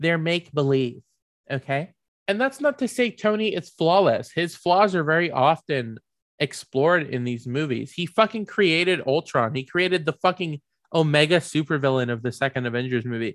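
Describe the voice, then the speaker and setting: Against a quiet background, a man speaks at a moderate pace with lively intonation, the sound dry and close with no echo. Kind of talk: angry rant. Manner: heated, profane, emphatic, hammering each point.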